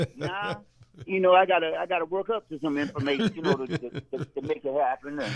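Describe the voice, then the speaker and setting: Recorded with a dry, close sound and no echo, a man with an unremarkable speaking voice talks at a fairly quick pace, his fairly high pitch showing ordinary variation. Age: 60s. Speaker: radio co-host. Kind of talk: casual chat.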